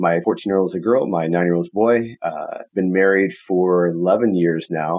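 Using a plain, everyday voice, a man with a fairly low pitch talks at a fairly slow pace with ordinary pitch variation. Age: 30s. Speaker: real estate investor. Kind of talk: interview. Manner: casual.

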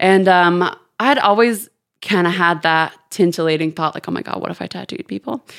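A woman with an American accent speaks fairly quickly at a fairly low pitch, with ordinary pitch variation and big swings in loudness. The recording is very clean, with a silent background. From Houston, Texas and London. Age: 20s. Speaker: tattoo artist. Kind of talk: casual chat. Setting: studio. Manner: animated.

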